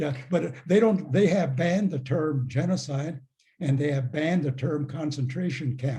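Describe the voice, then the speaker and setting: A man's somewhat breathy voice, dark and mellow in tone, fairly high in pitch, at a moderate pace. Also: ordinary pitch variation. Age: 80s+. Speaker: retired professor and author. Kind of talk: Q&A answers after a talk. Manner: halting, many fillers.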